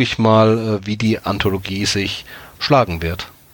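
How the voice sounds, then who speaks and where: At a very slow pace, a man speaks at a fairly low pitch with ordinary variation. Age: 30s. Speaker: anthology editor. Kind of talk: casual chat.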